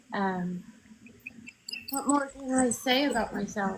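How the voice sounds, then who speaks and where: Fairly even intonation from a woman, with noticeable background noise. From Oklahoma (Clinton). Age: 50s. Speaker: political candidate and Navy veteran. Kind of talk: interview. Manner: halting, many ums.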